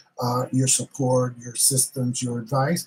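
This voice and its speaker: A somewhat breathy man's voice with a Bronx accent. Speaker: tarot reader. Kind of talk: live stream tarot reading and chat. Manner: animated.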